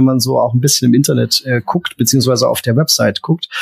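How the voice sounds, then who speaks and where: The man's voice is somewhat breathy. Its rise and fall are ordinary. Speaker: beer podcast co-host. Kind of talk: casual chat.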